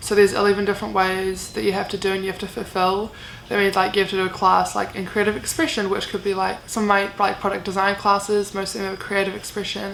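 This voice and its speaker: Very fast female voice at a medium pitch with a New Zealand accent, monotone and flat, with hardly any pauses and noticeable background noise. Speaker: university student vlogger. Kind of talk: casual Q&A vlog. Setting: bedroom. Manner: casual, many fillers.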